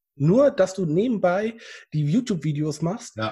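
This man's voice has a dark, mellow tone, somewhat breathy, with lively intonation. The recording is very clean, with a silent background. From Germany, Bad Oeynhausen (East Westphalia). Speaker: YouTuber, painter and decorator. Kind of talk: interview.

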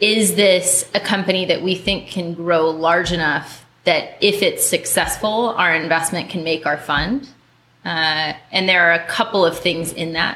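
A woman with a fairly low pitch and a bright, sharp tone speaks at a fairly slow pace with fairly even intonation. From US, moved around; high school in Minnesota. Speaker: venture capitalist. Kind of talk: group interview.

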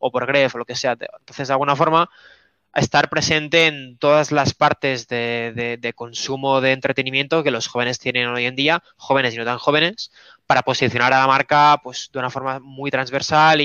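With big swings in loudness, a man talks at a moderate pace and medium pitch in a monotone, flat intonation. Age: 20s. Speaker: esports team co-founder. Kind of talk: interview.

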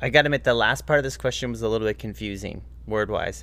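A man talks at a very fast pace. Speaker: guest co-host, host's boyfriend. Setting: studio.

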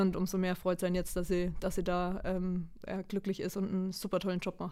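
A woman talks at a fairly quick pace and medium pitch. Her tone is dark and mellow, and her intonation is monotone and flat. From Lower Franconia, Germany (Würzburg area). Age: 30s. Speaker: national youth football coach. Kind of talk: interview.

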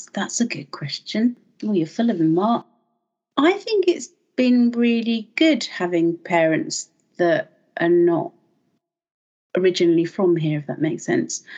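A somewhat breathy woman at medium pitch, fairly slow with long, frequent pauses and very wide pitch swings. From London. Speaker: podcast guest. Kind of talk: casual chat.

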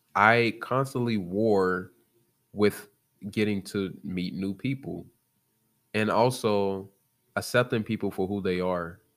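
A man with an American accent speaks at a very slow pace in a fairly low pitch, with fairly even intonation and long, frequent pauses, on a very clean recording with a silent background. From US Midwest, South Side of Chicago. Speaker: podcaster. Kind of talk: motivational monologue.

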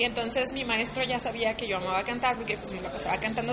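A woman talks at a very fast pace with a fairly high pitch and very wide pitch swings. Noticeable background noise is present. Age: 30s. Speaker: singer and musician. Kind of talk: casual interview chat.

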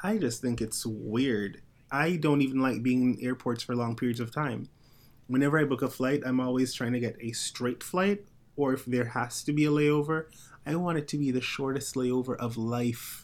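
A soft-spoken man at medium pitch, with ordinary pitch variation and a moderate pace. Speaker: podcast host. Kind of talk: casual chat. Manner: soft-spoken in real life; projects more on the show.

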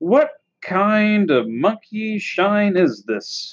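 A growling, put-on character voice, fairly high in pitch, at a very slow pace. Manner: growling, irritated.

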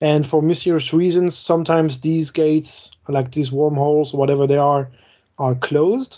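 With a French accent, a man speaks at a moderate pace in a fairly high pitch, his intonation fairly even and his loudness very even. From France. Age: late 30s. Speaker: podcast co-host, tabletop wargamer. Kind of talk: casual chat.

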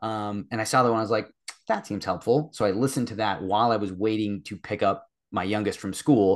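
Against a quiet background, a man with an unremarkable speaking voice talks at a fairly quick pace and fairly low pitch, with fairly even intonation. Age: 30s. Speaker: fitness coaching client. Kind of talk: casual chat.

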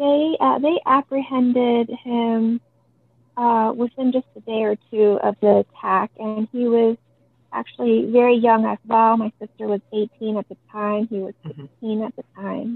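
A normal speaking voice with an American accent at a fairly slow pace, with ordinary pitch variation and big swings in loudness. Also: woman, fairly high pitch for a woman. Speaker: crime survivor's sister. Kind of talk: interview testimony.

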